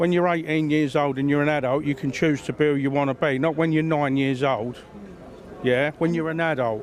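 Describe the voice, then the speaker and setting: A man's fairly high voice, fairly quick and fairly even in intonation, with noticeable background noise. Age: old. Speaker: member of the public. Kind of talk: street interview.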